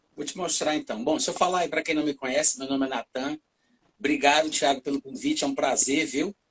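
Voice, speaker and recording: This man speaks very fast at a fairly high pitch, his intonation fairly even. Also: dry, close sound with no echo. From Brazil, Fortaleza, Ceará (Northeast). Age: 40s. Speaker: preacher and author. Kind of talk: casual chat on a church livestream.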